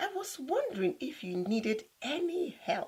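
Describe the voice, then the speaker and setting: Putting on a squeaky character voice, a woman speaks at a moderate pace with an extremely high pitch. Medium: read story.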